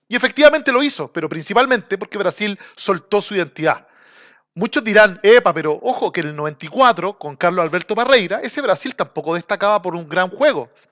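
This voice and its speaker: Speaking with a Chilean accent, a man talks at a fairly quick pace with a high pitch, a bright, sharp tone and lively intonation, recorded dry and close with no echo against a quiet background. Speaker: football commentator, channel host. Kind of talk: casual monologue. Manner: informal, slangy.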